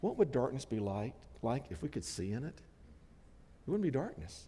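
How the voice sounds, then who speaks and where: Delivered at a very fast pace with an American accent, this voice swings very widely in pitch and shows vocal fry. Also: man. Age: 60s. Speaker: pastor. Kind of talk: sermon. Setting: church.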